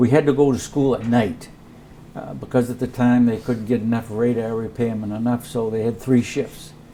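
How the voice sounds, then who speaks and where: A man talks at a medium pitch with fairly even intonation. Noticeable background noise sits behind him. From Maine. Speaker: Korean War era Army veteran, radar repairman. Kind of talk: oral history interview answer.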